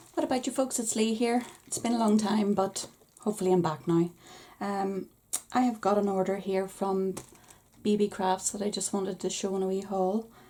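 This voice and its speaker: Speaking at a moderate pace with a Northern Irish accent, a woman uses a medium pitch and fairly even intonation. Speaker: crafting YouTuber. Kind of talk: product haul review.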